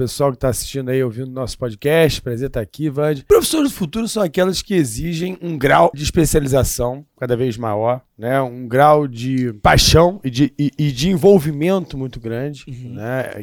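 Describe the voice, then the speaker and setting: At a moderate pace and with hardly any pauses, a man speaks in an unremarkable speaking voice with ordinary pitch variation. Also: fairly high pitch for a man. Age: 40s. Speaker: history and current affairs teacher. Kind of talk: casual chat.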